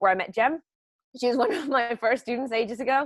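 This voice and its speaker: A woman talks at a fairly quick pace with a Spanish accent. The sound is dry and close with no echo, in a very clean recording with a silent background. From Mexico. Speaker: journalist and journalism lecturer. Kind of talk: panel discussion.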